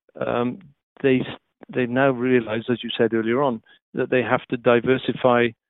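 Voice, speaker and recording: Speaking with a Welsh accent, a man delivers his words in a monotone, flat intonation broken by long, frequent pauses. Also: medium pitch for a man, moderate pace. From Wales. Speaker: TV technology executive. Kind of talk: interview.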